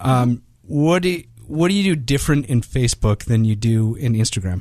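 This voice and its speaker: At a fairly quick pace, a man with an American accent and a medium pitch speaks with lively intonation and very even loudness. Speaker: podcast host. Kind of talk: podcast interview.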